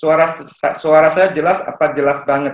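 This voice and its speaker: Speaking fairly slowly, a man uses an ordinary speaking voice with a fairly high pitch. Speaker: property broker and seminar speaker. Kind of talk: online seminar talk. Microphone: a bit far from the mic.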